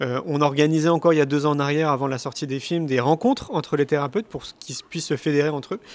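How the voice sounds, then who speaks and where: A man with a fairly high pitch talks at a very fast pace in a very clean recording with a silent background and a dry, close sound with no echo. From Paris, France. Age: 40s. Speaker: speaker and documentary filmmaker. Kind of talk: interview. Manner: hesitant with fillers.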